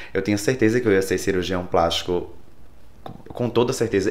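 A man with an unremarkable speaking voice talks at a fairly quick pace, fairly low in pitch, with ordinary pitch variation. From Brazil, Rio Grande do Norte interior (Caicó). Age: 30s. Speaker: hairdresser and salon owner. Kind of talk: interview.

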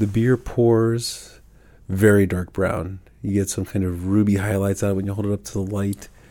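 A man's fairly low-pitched, dark, mellow voice in monotone, flat intonation on a very clean recording with a silent background. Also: moderate pace. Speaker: beer podcast host. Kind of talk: casual chat, beer tasting.

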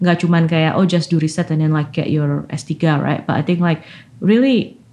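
Her voice is a normal speaking voice, fairly low-pitched for a woman, moving at a moderate pace. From Indonesia, Malang (East Java). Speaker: scientist. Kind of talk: interview. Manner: frequent code-switching into English.

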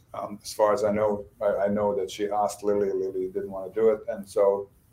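A man speaks at a fairly quick pace. He has a Bosnian accent. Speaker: novelist and screenwriter. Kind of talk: interview.

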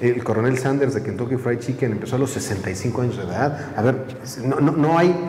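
A man at medium pitch and moderate pace, ordinary pitch variation, with noticeable background noise and audible room echo. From Mexico City area. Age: 40s. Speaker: tourism entrepreneur. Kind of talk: interview.

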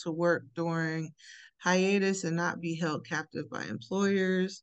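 At a fairly slow pace and medium pitch, a woman uses an ordinary speaking voice with ordinary pitch variation over a quiet background. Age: 30s. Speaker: podcast co-host. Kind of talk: casual chat.

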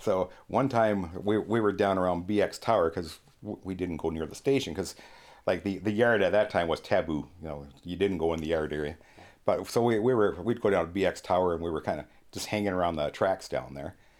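A man with a Canadian accent speaks at a fairly quick pace in a very deep, low voice with ordinary pitch variation, on a very clean recording with a silent background. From Ontario, Canada (St. Thomas). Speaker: retired railroader. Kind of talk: casual chat.

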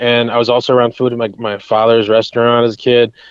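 This is a man with an American accent. His pitch sits in the medium range. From US Northeast (New York state). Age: 20s. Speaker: chef and psychic. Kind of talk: casual interview. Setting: remote call. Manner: enthusiastic.

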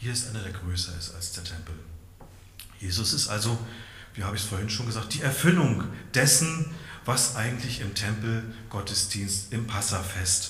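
The speaker keeps a moderate pace with ordinary pitch variation. Noticeable background noise is present. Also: man. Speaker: preacher. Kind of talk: sermon. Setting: church.

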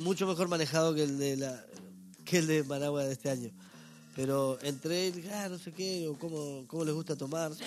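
With an unremarkable speaking voice, a man talks at a fairly quick pace, his pitch fairly high with ordinary pitch variation. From northern Uruguay (Salto). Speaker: stand-up comedian. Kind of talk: casual interview chat.

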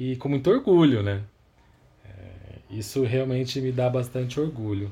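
The man's voice has a dark, mellow tone at a medium pitch. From Campinas, interior of São Paulo state, Brazil. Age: 30s. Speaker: record label founder and vinyl collector. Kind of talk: podcast interview.

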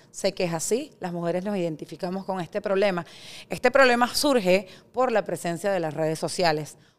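A woman talks at a moderate pace in an unremarkable speaking voice with lively intonation. The recording is very clean, with a silent background. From Venezuela. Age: 40s. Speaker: startup founder. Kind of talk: interview conversation.

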